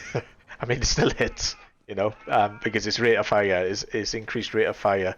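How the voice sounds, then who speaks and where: At a moderate pace, a man with a Welsh accent speaks over noticeable background noise. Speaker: gaming streamer or video commentator. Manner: casual, chatty running commentary.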